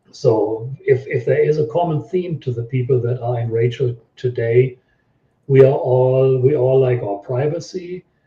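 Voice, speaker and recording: A somewhat breathy male voice at medium pitch, fairly slow in pace, with ordinary pitch variation. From Germany. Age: 60s. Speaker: website owner and local resident. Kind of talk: interview.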